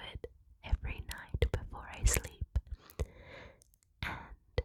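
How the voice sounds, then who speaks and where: Whispered speech creeps along at a very slow pace with long, frequent pauses against noticeable background noise. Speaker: ASMR creator. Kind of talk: ASMR whispered rambling.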